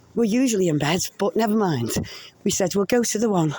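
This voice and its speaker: A woman in a Liverpool accent, medium in pitch, fairly quick and lively in intonation. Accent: Scouse. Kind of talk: casual vlog talk to camera. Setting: outdoors, walking. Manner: heavy breathing, walking.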